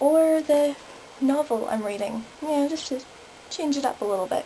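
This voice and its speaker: A woman at a moderate pace with lively intonation, amid noticeable background noise. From Northern Ireland. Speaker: vlogger. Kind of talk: review vlog.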